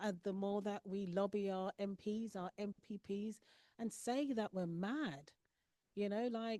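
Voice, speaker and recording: In a London accent, a woman speaks at a medium pitch and a fairly slow pace, her tone dark and mellow, the sound dry and close with no echo. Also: ordinary pitch variation. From London, England. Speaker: school board trustee. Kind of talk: panel discussion.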